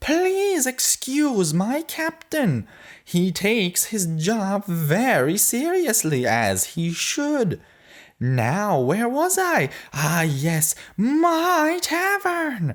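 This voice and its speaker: This put-on character voice has a fairly high pitch and a very slow pace, captured on a very clean recording with a silent background. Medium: read story. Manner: theatrical, gleeful, boastful.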